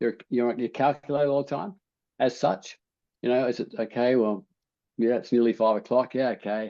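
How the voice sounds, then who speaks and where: Against a quiet background, a man with an Australian accent speaks at a moderate pace in a dark, mellow tone with fairly even intonation. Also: medium pitch for a man. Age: 70s. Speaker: habit change coach. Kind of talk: interview. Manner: halting, many repetitions.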